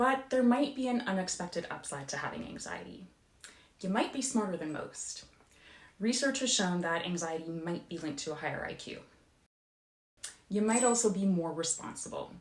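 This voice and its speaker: With long, frequent pauses and very wide pitch swings, a woman speaks at medium pitch in a room with audible echo. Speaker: youtuber talking about own anxiety. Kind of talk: informal explainer video. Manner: fast.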